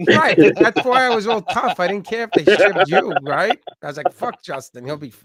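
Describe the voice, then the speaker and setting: In a strong Long Island accent, a man with a high pitch speaks at a moderate pace with hardly any pauses, very wide pitch swings and big swings in loudness, in a dry, close sound with no echo. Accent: thick Long Island. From Long Island, New York. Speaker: podcast host. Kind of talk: casual chat. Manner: animated.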